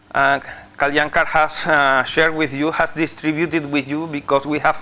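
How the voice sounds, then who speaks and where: Over noticeable background noise, a man talks in a fairly high, monotone voice with flat intonation. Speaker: visiting professor. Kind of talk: lecture. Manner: halting, many fillers.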